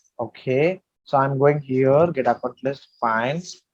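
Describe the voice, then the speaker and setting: A man is speaking. His pitch moves in an ordinary way. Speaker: software trainer. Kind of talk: tutorial. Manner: halting.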